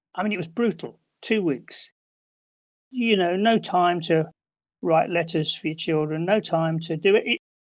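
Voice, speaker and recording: A man with an English accent speaks at a high pitch with ordinary pitch variation. His pace is moderate with long, frequent pauses, on a very clean recording with a silent background. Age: 70s. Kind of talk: interview testimony.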